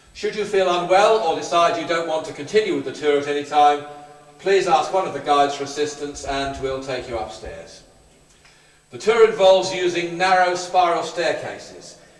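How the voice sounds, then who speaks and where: A man talks at a moderate pace and high pitch with ordinary pitch variation, and his loudness swings widely. Noticeable background noise and room echo are audible. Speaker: tour guide. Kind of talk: guided tour talk. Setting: underground bunker. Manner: soft-spoken.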